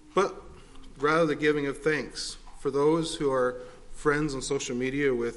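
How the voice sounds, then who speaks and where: A man's fairly high-pitched voice at a moderate pace, with audible room echo. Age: 40s. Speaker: preacher. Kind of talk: sermon.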